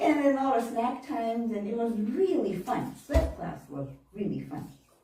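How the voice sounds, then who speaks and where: A woman's fairly high voice at a moderate pace, with very wide pitch swings, big swings in loudness, audible room echo and noticeable background noise. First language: Japanese. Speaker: minister. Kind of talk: sermon. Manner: conversational, informal.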